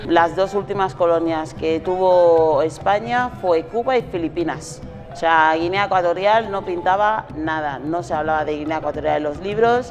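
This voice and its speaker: Over background music, a woman with a Spanish accent speaks at a moderate pace with hardly any pauses, her fairly low voice showing ordinary pitch variation. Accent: Spanish (Spain). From Spain. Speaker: interviewee. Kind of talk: interview.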